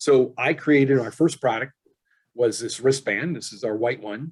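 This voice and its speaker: At medium pitch with ordinary pitch variation, a man talks in a normal speaking voice. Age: 60s. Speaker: engineer and wellness product inventor. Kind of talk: interview.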